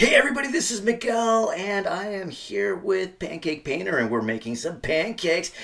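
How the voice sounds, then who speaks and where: A man puts on a character voice, high-pitched and upbeat, swinging his pitch very widely at a moderate pace over light background noise. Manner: upbeat, peppy, exaggerated.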